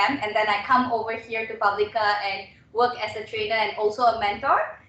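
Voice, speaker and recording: A woman talks at a fairly quick pace with a fairly high pitch and fairly even intonation. Noticeable background noise and audible room echo fill the recording. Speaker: webinar trainer and radio host. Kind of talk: webinar presentation. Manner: fast.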